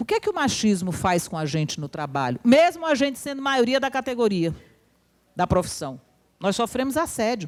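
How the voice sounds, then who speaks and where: Animated in tone, a woman talks at a moderate pace with a fairly high pitch. Her pitch swings very widely. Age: 60s. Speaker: university professor and union speaker. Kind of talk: lecture.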